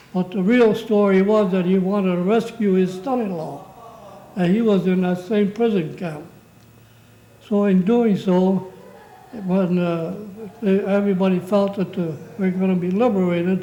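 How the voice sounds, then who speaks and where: Against noticeable background noise, a man with a high-pitched voice talks at a fairly slow pace with fairly even intonation. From Hubbard, Ohio, USA. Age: 80s+. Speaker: war veteran. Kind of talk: interview answer.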